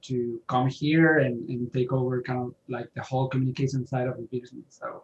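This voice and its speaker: A somewhat breathy voice with a slight Spanish accent. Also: man. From Spain. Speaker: author. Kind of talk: interview.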